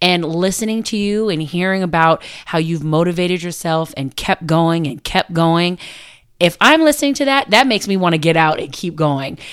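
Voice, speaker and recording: A woman speaks with an American accent and a fairly low pitch. Her pace is moderate and her intonation lively. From San Diego, California. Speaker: podcast co-host. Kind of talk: casual chat.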